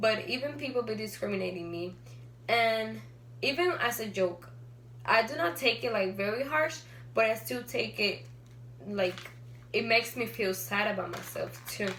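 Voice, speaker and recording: Speaking at a moderate pace with long, frequent pauses, a woman with a medium-pitched voice swings her pitch very widely amid noticeable background noise and audible room echo. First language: not English. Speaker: student. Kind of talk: class speech. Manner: halting.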